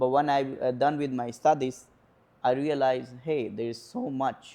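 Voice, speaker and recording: With an Indian accent, a man speaks at medium pitch in a dark, mellow tone, his intonation monotone and flat at a moderate pace. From northern India, near Nepal. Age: 20s. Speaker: home care worker and student. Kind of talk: interview. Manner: hesitant, many fillers.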